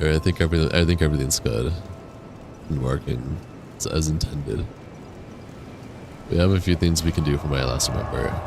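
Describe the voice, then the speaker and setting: A man's very deep, low voice at a fairly quick pace, with long, frequent pauses, ordinary pitch variation and noticeable background noise. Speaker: gaming streamer. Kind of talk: casual live-stream chat.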